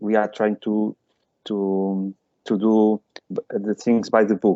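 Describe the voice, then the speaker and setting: A man with a fairly low pitch speaks in a monotone, flat way at a very slow pace, leaving long, frequent pauses. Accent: non-native. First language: not English. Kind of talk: webinar discussion. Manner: halting.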